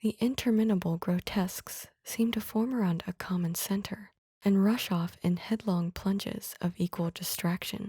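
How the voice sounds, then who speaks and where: Soft-spoken and somewhat breathy, a woman speaks at a moderate pace and medium pitch in a dark, mellow, soothing tone, with fairly even intonation, very even loudness, hardly any pauses and a dry, close sound with no echo. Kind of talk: ASMR soothing story reading. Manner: soft-spoken, soothing.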